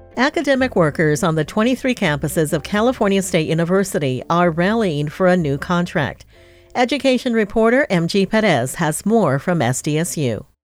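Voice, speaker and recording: Music plays in the background as a woman speaks with very even loudness. Her voice is fairly low, with very wide pitch swings. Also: fairly quick pace. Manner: formal.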